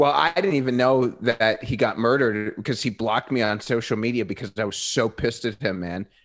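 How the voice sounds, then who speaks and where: At a fairly quick pace, a man talks in an ordinary speaking voice, his pitch varying in an ordinary way. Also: medium pitch for a man. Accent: American. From New York City. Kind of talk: casual chat. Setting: video call.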